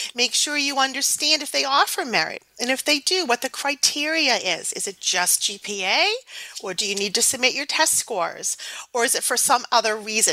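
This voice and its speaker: A high-pitched woman's voice with very wide pitch swings at a moderate pace, over noticeable background noise. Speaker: financial aid expert. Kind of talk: interview conversation.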